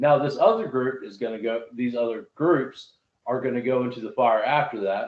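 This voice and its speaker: With a Southern US accent, a man speaks at a medium pitch. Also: ordinary pitch variation, moderate pace. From US South. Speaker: Bible study podcast host. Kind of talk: casual Bible discussion.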